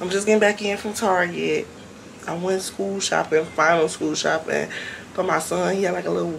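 Light background noise sits behind a woman speaking at a moderate pace. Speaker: vlogger. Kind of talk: casual vlog chat. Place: home room. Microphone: phone near.

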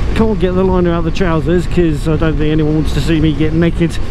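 A woman with a fairly low-pitched voice talks at a fairly quick pace, the sound dry with no echo amid noticeable background noise. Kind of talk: casual vlog chat. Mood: cheerful, self-mocking. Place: motorbike. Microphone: helmet.

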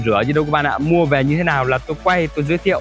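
A man's voice with ordinary pitch variation, dry sound with no echo and faint music in the background. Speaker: presenter. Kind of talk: sales presentation. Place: street.

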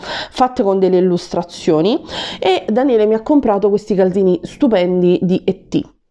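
Speaking at a fairly quick pace, a woman with a medium pitch has an animated tone and lively intonation. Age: 30s. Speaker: YouTuber. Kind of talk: shopping haul video. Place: home room. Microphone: lapel.

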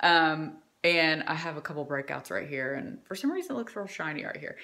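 A woman speaks at a fairly quick pace over a quiet background. Her tone is bright and sharp. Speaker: home vlogger. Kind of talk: casual vlog chat. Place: home room. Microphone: phone near.

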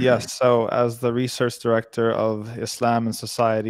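A man speaks at a moderate pace. The sound is dry with no echo, over a quiet background. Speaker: remote guest. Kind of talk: interview answer. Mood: calm, earnest. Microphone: studio mic.

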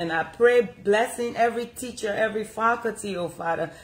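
A woman at a fairly quick pace with ordinary pitch variation. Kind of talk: prayer. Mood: fervent earnest prayer. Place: home room. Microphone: phone near.

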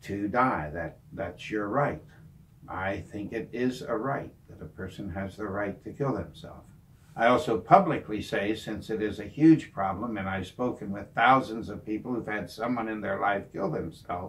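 At a moderate pace, the somewhat breathy voice shows ordinary pitch variation. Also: man, fairly low pitch for a man. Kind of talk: personal talk to camera. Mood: serious, heartfelt. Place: home room.

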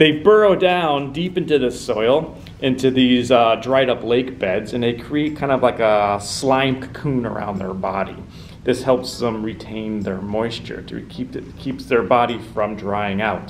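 Light background noise sits behind a man speaking fairly slowly with ordinary pitch variation. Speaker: presenter. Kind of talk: educational talk to camera. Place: meeting room.

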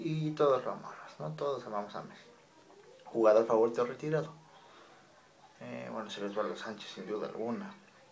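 At a fairly quick pace, a man with a medium pitch speaks with lively intonation and long, frequent pauses, with noticeable background noise behind him. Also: big swings in loudness. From Mexico, Monterrey. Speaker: YouTuber. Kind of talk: casual vlog monologue.

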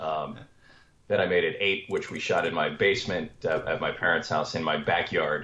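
With an American accent, a man talks at a moderate pace. Room echo is audible. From Washington, D.C. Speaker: screenwriter and comedian; guest. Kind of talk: interview. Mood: relaxed, friendly storytelling. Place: home room. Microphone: video call.

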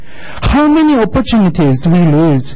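A man speaks with a Japanese accent in a high voice, at a fairly slow pace. His pitch swings very widely against a quiet background. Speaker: local resident speaking at public comment. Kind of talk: prepared public comment statement. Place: meeting room. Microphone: podium.

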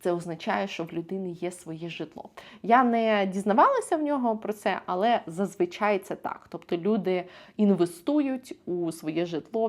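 With ordinary pitch variation, an unremarkable speaking voice talks at a moderate pace. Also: woman. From Ukraine. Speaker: vlogger. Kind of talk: vlog monologue to camera.

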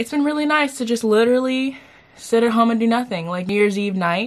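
Woman speaking at a fairly quick pace with ordinary pitch variation. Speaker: vlogger. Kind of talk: casual vlog chat. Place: home room. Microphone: camera far.

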